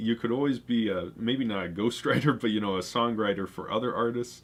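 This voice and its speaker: This is a man speaking. He has an American accent. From Colorado, US. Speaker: music producer live-streaming beat making. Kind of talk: casual live stream chat. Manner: halting, many fillers.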